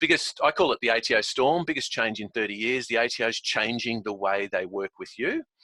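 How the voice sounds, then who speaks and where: A man with an Australian accent talks at a very fast pace in a bright, sharp tone, with a dry, close sound and no echo. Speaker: software company founder presenting. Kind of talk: webinar presentation. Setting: video call from home office. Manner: animated.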